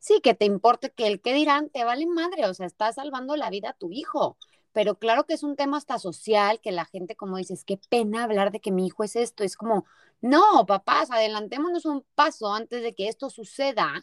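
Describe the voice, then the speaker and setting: In a very clean recording with a silent background and a dry, close sound with no echo, a woman with a plain, everyday voice speaks at a fairly high pitch and a fairly quick pace with lively intonation. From Mexico, Torreón, Coahuila. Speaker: podcast host. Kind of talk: interview.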